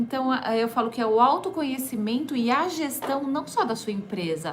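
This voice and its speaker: Over noticeable background noise, a woman speaks at a moderate pace with a high pitch and lively intonation. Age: 30s. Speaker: entrepreneur and holistic therapist. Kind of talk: radio interview. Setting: radio studio.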